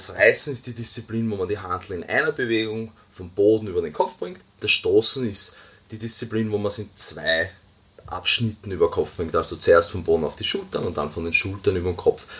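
Fairly quick speech from a man over noticeable background noise. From Austria. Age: 20s. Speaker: weightlifting coach. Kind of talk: podcast interview.

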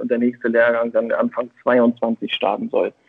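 A man speaks at a moderate pace. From northern Germany, Schleswig-Holstein. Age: 40s. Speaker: football coach and marketing consultant. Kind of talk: casual interview.

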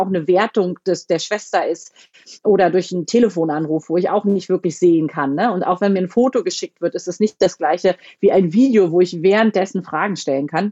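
A woman talks at a fairly quick pace in a normal speaking voice, her pitch varying in an ordinary way. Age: 30s. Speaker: family doctor. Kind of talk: interview. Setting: phone call.

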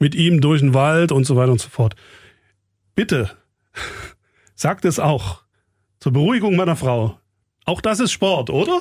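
A man with a fairly high pitch talks at a fairly slow pace, with long, frequent pauses and lively intonation. His voice is somewhat breathy, on a very clean recording with a silent background. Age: 40s. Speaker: radio program director and podcast host. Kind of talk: casual chat.

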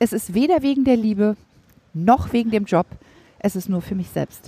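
A woman's dark, mellow tone at a moderate pace, with very wide pitch swings, in a dry, close sound with no echo. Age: 40s. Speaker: motivational trainer and speaker. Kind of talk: casual interview.

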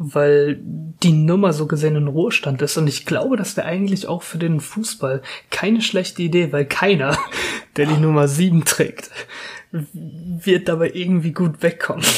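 With noticeable background noise behind him, a man talks at a moderate pace and a fairly high pitch with ordinary pitch variation. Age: 20s. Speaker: football podcast host, student. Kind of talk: casual chat.

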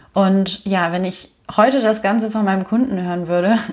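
Here is a woman with a normal speaking voice. She talks at a moderate pace with ordinary pitch variation. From Germany. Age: 30s. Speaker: podcast host and online business coach. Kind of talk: personal storytelling monologue.

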